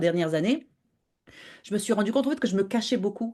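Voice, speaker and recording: Lively intonation marks this woman's dark, mellow tone. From Morocco. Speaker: podcaster and web entrepreneur. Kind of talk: interview. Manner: animated; halting.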